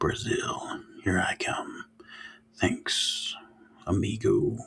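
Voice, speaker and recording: A man puts on a character voice, drawing his words out at a very slow pace. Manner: casual, cheerful.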